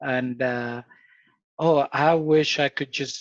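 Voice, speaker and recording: Against a quiet background, a man speaks at a medium pitch with fairly even intonation, the sound dry and close with no echo. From Ecuador. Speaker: father sharing parenting experience. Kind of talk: casual interview chat.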